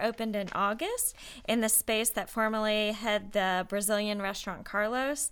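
A woman talks at a moderate pace with an American accent. Hers is an unremarkable speaking voice. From US South, Atlanta area. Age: 30s. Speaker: economic development director. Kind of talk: casual interview chat. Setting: studio.

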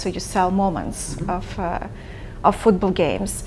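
Monotone, flat intonation runs through the speech, with noticeable background noise behind it. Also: woman. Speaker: podcast host. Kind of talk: casual interview.

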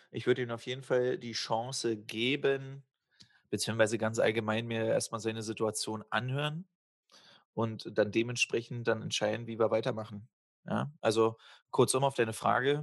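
Against a quiet background, a man talks at a moderate pace and medium pitch with fairly even intonation. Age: 30s. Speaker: podcast co-host. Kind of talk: casual chat.

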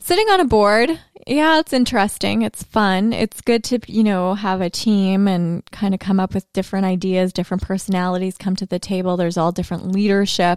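A woman with a Canadian accent and an unremarkable speaking voice talks at a fairly quick pace, medium in pitch with ordinary pitch variation and hardly any pauses, on a very clean, dry, close recording with no echo and a silent background. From Canada, Thunder Bay, Ontario. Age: 30s. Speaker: former TV video journalist. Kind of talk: casual chat. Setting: live show.

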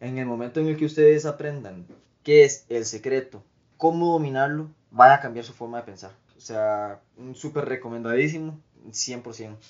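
An ordinary speaking voice is heard here. The pace is moderate, and the pitch variation is ordinary. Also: man, medium pitch for a man. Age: 20s. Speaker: guest sharing life story. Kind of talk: testimony.

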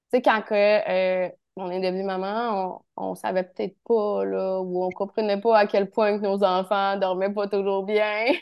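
A woman with a Quebec accent talks at a very slow pace with hardly any pauses, in monotone, flat intonation. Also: medium pitch for a woman. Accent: Québécois French. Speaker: naturotherapist. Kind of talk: expert interview. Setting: video call.

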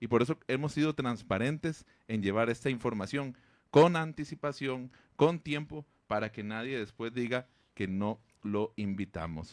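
A plain, everyday voice, captured in a very clean recording with a silent background, talks at a fairly slow pace with ordinary pitch variation. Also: man, medium pitch for a man. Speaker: radio host. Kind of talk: radio interview.

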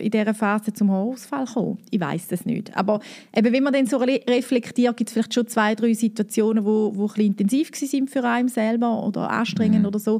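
Speaking at a fairly quick pace, a woman uses a fairly high pitch and a dark, mellow tone with fairly even intonation. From eastern Switzerland, St. Gallen. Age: 30s. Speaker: business co-founder. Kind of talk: interview.

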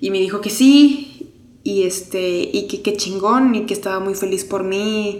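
Over noticeable background noise, a woman with a Mexican accent and medium pitch speaks at a very slow pace with hardly any pauses and ordinary pitch variation. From Mexico. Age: 30s. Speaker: podcast host. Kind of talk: personal testimony. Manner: unscripted, conversational.

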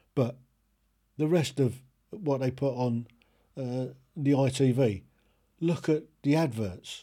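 A man with a British accent speaks at a very slow pace and medium pitch, with a dark, mellow tone, ordinary pitch variation and long, frequent pauses, on a very clean recording with a silent background. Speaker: podcast host ranting. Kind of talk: angry opinionated rant, solo monologue. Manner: indignant, emphatic, blunt; ranting, repeated phrases, talks straight to the listener.

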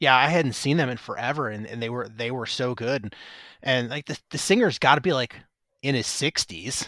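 A man with an American accent and a plain, everyday voice speaks at a moderate pace and medium pitch with ordinary pitch variation, on a very clean recording with a silent background. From Chicago southwest suburbs. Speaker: podcast host, record label owner. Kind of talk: casual chat.

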